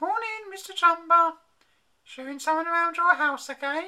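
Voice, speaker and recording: A put-on character voice, squeaky and extremely high-pitched, at a moderate pace. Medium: read story.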